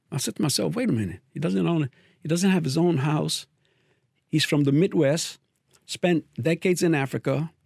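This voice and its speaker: A man speaks at a moderate pace with lively intonation and a fairly high pitch, his voice showing vocal fry. His loudness stays very even, and the sound is dry and close with no echo. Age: 70s. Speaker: former Jehovah's Witness. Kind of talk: personal testimony monologue. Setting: studio. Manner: halting, repetitive.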